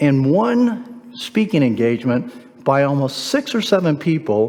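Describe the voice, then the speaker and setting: A man talks at a fairly high pitch. His voice swings very widely in pitch. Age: 60s. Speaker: guest speaker at a men's church event. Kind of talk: motivational talk. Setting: church hall with live audience.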